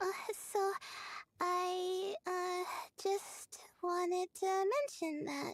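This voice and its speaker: Using a put-on character voice, a woman talks at a very slow pace in a squeaky, extremely high pitch, her intonation fairly even and broken by long, frequent pauses. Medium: video game. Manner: hesitant, many filler sounds.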